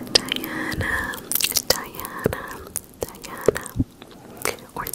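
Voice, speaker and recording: A woman's whisper at a very slow pace. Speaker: ASMR creator. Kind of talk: ASMR whispering of viewer names. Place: home room. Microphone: handheld.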